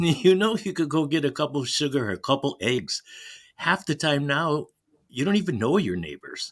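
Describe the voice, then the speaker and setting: With a Chicago accent, a man speaks in a fairly high voice with vocal fry and lively intonation. The recording is very clean with a silent background. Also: moderate pace. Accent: Chicago American English. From US Midwest, Chicago. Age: 70s. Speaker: caller, Navy veteran. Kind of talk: casual chat.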